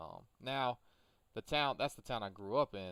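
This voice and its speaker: Here is a man with an Appalachian accent. His tone is bright and sharp. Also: very clean recording, silent background. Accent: southern Appalachian Virginia. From US South, Appalachian southwest Virginia. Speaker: gaming streamer. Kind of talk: casual chat while livestreaming a farming game.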